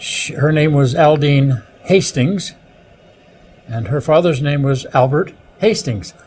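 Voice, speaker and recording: Somewhat breathy male speech in a Canadian accent, fairly high in pitch with ordinary variation, at a fairly slow pace with long, frequent pauses. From Ontario, Canada (Sault Ste. Marie). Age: 70s. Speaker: retired television pioneer. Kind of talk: interview. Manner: halting, many fillers.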